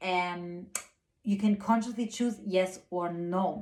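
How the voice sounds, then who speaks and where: Soft-spoken delivery with fairly even intonation. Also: woman. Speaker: spiritual guide and channeler. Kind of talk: spiritual weekly guidance monologue. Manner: hesitant with frequent fillers.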